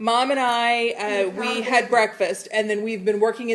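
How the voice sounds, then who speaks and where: Against noticeable background noise, a woman speaks at a moderate pace. Her pitch is fairly high. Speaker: cooking show host. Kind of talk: casual livestream chat.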